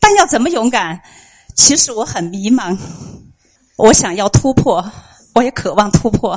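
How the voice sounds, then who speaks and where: Moving at a fairly slow pace, this woman's speech rises and falls in very wide pitch swings. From Chengdu, China. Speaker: listener and parent. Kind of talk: prepared speech. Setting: bookstore event with live audience.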